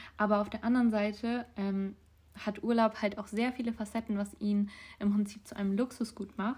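A woman's fairly high, somewhat breathy voice in a flat monotone. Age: young. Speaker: podcast co-host. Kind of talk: casual chat.

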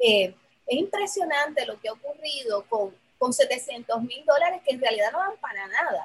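A high-pitched woman's voice at a moderate pace, with very wide pitch swings. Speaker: professor and program coordinator. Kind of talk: casual chat.

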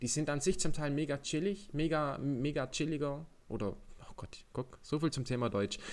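This man has an unremarkable speaking voice, fairly high in pitch, with ordinary pitch variation and a moderate pace. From Germany. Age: 20s. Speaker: podcast host. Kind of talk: casual chat.

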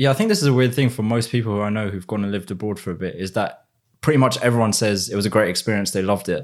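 A man with a British accent talks at a very fast pace in a fairly low pitch with ordinary pitch variation, on a very clean recording with a silent background. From England, Essex. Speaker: economist. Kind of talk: casual chat.

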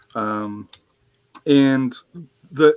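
Recorded dry and close with no echo, an unremarkable speaking voice with an American accent shows ordinary pitch variation. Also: man. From US West (western Colorado). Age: 50s. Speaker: soccer podcast host. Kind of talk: casual roundtable discussion.

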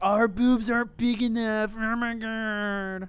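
A put-on character voice, fairly high and monotone, with flat intonation and a fairly slow pace. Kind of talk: girly, high-pitched. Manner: mocking, exaggerated.

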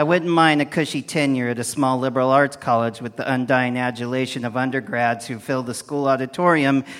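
A man talks at a fairly quick pace in a normal speaking voice. His pitch is medium and his intonation fairly even. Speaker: poet. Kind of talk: comic poetry performance.

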